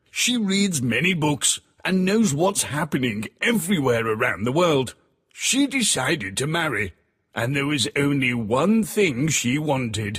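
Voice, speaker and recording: A man's put-on character voice at a fairly high pitch and a moderate pace. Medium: read story.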